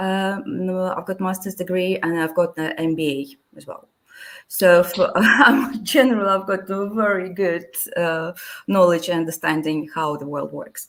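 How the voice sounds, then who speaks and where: A woman with a Russian accent, medium in pitch, at a moderate pace with ordinary pitch variation and big swings in loudness. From Latvia. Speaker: immigration adviser. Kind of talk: interview. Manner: halting.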